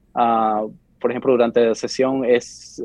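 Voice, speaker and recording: Speaking at a fairly slow pace, a man holds a medium pitch with monotone, flat intonation. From Bolivia, Santa Cruz; moved to US at 12. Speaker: lawyer working in state politics. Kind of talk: interview. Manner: halting, frequent repetitions.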